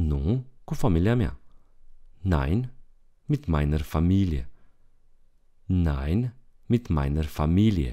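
The voice has a dark, mellow tone and very wide pitch swings. It moves at a very slow pace with long, frequent pauses. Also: man, very deep, low pitch for a man. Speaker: German language teacher. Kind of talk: language lesson tutorial. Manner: slow, repetitive for learners.

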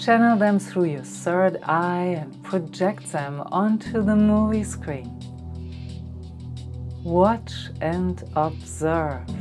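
Over music in the background, a woman speaks at a very slow pace in a calm, soothing tone. Her speech has long, frequent pauses. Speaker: meditation guide. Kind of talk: guided meditation. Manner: slow, calm, soothing.

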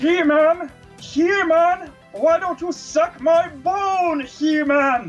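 Faint music plays in the background behind a put-on character voice with an extremely high pitch. The pace is very slow. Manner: menacing, taunting.

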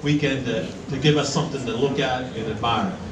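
Loud background noise surrounds speech at a moderate pace. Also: man. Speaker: awards announcer. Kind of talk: public announcement. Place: hall.

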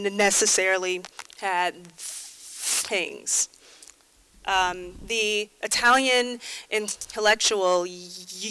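With noticeable background noise behind her, a woman talks in fairly even intonation, leaving long, frequent pauses. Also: medium pitch for a woman. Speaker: conference speaker. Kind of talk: conference talk.

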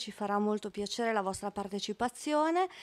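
At a moderate pace and fairly high pitch, a woman speaks in an unremarkable speaking voice against a quiet background. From Italy. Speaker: study centre president; event host. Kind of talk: formal event introduction. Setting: stage with audience. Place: hall. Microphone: podium.

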